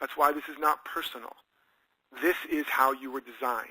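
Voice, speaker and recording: A man's bright, sharp voice at a fairly high pitch and fairly quick pace. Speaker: self-help author and teacher. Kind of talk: motivational talk. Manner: animated.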